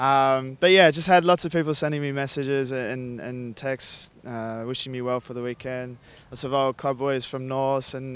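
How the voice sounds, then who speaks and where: A man talks at a moderate pace with an Australian accent. His intonation is fairly even, with hardly any pauses. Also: big swings in loudness. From Australia (Sydney). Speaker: rugby sevens player. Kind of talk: casual interview.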